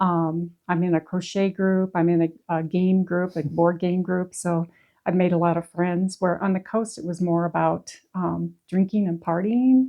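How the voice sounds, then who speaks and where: A woman with an American accent talks at a fairly slow pace in a fairly low pitch, with fairly even intonation and hardly any pauses. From US Midwest, northeast Iowa. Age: 60s. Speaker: retiree. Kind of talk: casual interview. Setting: in her home. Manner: some hesitations.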